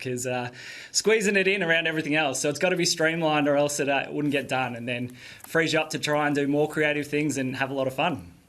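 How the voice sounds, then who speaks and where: A man's fairly high-pitched voice with an Australian accent. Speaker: podcaster and electrician. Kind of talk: TV interview. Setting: live video link.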